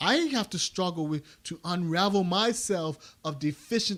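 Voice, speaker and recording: Heard in a very clean recording with a silent background, a man with a Bermudian accent and a high pitch talks at a fairly slow pace with ordinary pitch variation. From Bermuda. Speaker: math education podcast host. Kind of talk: commentary talk on a podcast. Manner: halting with frequent restarts.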